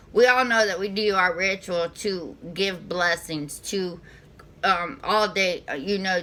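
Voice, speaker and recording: A woman's medium-pitched voice with a Southern US accent, a bright, sharp tone, ordinary pitch variation and a fairly slow pace. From US South. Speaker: spiritual reader / channel host. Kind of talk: casual spiritual vlog monologue. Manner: halting, many fillers and restarts.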